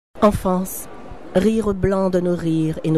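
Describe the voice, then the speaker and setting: A woman speaks over noticeable background noise. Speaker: novelist reading her own book. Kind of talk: literary reading of a novel excerpt. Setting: live recording at a book fair.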